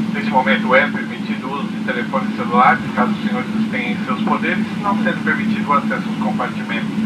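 A man speaks over loud background noise. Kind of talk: cabin announcement. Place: plane. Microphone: pa.

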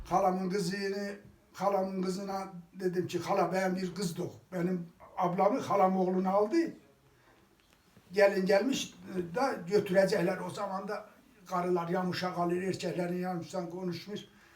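A high male voice in an eastern Anatolian accent, monotone and flat, at a moderate pace with long, frequent pauses. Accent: eastern Anatolian Turkish (Kars). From Kars, eastern Turkey. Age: 80s+. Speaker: villager. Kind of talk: interview answer.

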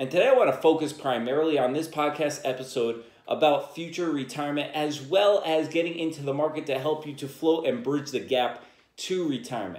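A man talks at a fairly quick pace with ordinary pitch variation. Room echo is audible. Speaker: podcast host. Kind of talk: podcast monologue on personal finance. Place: home room.

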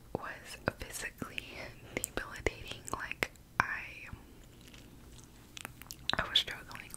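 A woman whispers at a very slow pace, leaving long, frequent pauses. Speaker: ASMR creator. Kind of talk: ASMR eating ramble. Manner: whispered; casual, rambling. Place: home room. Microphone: studio mic.

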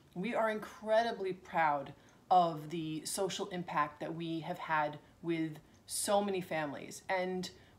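A woman with a fairly low pitch talks at a fairly slow pace, using ordinary pitch variation. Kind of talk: promotional talk to camera. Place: home room. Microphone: phone near.

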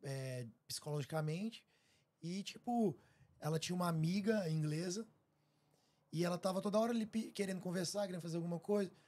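A man talks at a fairly quick pace in a high voice with a dark, mellow tone. His pitch varies in an ordinary way, and he leaves long, frequent pauses. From Brazil. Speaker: podcast host. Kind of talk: casual chat. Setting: live stream studio. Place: studio. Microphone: studio mic.

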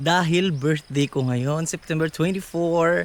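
A high-pitched man's voice with ordinary pitch variation. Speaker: vlogger and street vendor. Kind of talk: casual vlog talk to camera. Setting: outdoors, walking in the neighborhood. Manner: hesitant, many fillers.

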